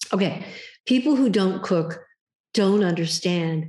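With a quiet background, a woman's somewhat breathy voice carries lively intonation. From US West Coast, Los Angeles. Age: 70s. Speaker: author. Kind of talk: casual chat. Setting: video call. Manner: animated.

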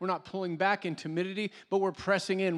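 This man has a high-pitched voice and talks at a very fast pace. The recording is very clean, with a silent background. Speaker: pastor. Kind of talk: sermon. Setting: church.

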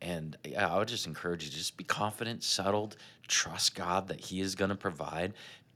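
A man's bright, sharp, very deep voice, fairly quick, with fairly even intonation. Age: 40s. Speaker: podcast co-host. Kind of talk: casual chat.

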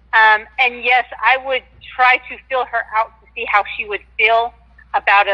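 A woman's bright, sharp voice with an American accent, fairly even intonation and moderate pace, in a dry, close sound with no echo. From Washington State. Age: 50s. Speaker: caller. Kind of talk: call-in radio chat.

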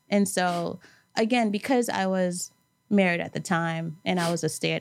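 A woman with a plain, everyday voice and a fairly low pitch talks at a moderate pace on a very clean recording with a silent background. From New York City, Brooklyn. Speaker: event planner, cancer survivor. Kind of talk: casual interview.

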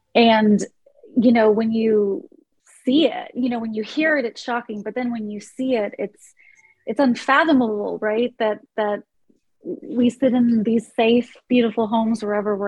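A woman with an American accent speaks at a fairly slow pace, her fairly high, somewhat breathy voice showing ordinary pitch variation. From US Midwest (small-town Ohio). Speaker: nonprofit executive. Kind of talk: interview conversation.

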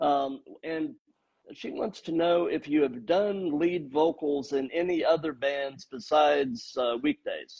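This man has an ordinary speaking voice with a fairly high pitch. He talks at a fairly slow pace with ordinary pitch variation. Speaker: podcast host. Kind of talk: casual interview.

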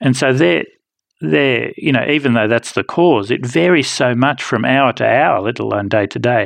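This man has a medium pitch and vocal fry. He talks at a moderate pace with lively intonation. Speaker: professor giving medical expertise. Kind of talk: interview.

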